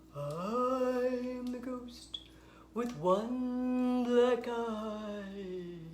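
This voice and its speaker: Over clear background noise, someone performs a put-on character voice. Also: female-sounding voice, high pitch for a woman. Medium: read story.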